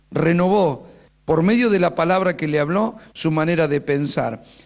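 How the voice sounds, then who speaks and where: Moderate pace and ordinary pitch variation in a man's fairly high voice. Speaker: pastor and teacher. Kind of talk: sermon-style teaching workshop.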